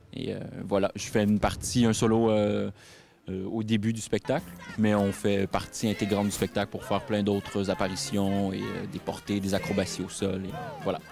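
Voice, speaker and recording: The speech comes in a Quebec accent at a moderate pace with fairly even intonation. Music plays in the background. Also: man, fairly low pitch for a man. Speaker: circus acrobat. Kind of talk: interview. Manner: halting.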